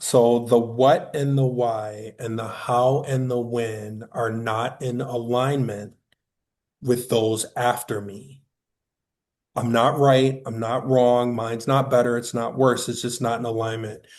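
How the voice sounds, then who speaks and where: The man talks at a very slow pace and a medium pitch. His intonation is monotone and flat. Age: 50s. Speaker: workforce speaker. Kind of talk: panel discussion.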